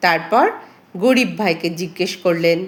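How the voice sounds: At a fairly slow pace, the speech carries ordinary pitch variation. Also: woman, fairly low pitch for a woman.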